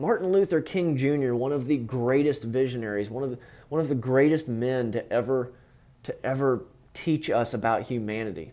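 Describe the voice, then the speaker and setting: Fairly quick speech from a man with a fairly high pitch. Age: 20s. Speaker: podcast host. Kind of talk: casual monologue. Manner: halting.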